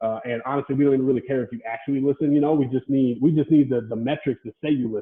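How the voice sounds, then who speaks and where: This man's voice sits fairly high in pitch, with fairly even intonation. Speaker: podcast host. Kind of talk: casual chat. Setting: indoors, standing by pool table. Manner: loud at times; halting, many fillers.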